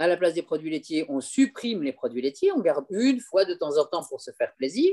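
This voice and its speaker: A woman's dark, mellow voice with lively intonation, in a dry, close sound with no echo. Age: 60s. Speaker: aromatherapy and raw food expert. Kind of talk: live video discussion. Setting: online live broadcast. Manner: halting, many repetitions.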